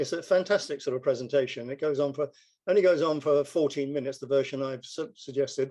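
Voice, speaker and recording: A man talks at a very fast pace with fairly even intonation. His voice is fairly high in pitch and dark and mellow in tone. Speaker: network marketing distributor. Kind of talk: casual explanation on a group call.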